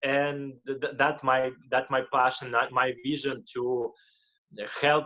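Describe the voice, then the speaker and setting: Here a man speaks with a Russian accent at a fairly slow pace. His medium-pitched voice has a bright, sharp tone. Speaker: motivational speaker and life coach. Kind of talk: interview. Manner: halting, repeats words.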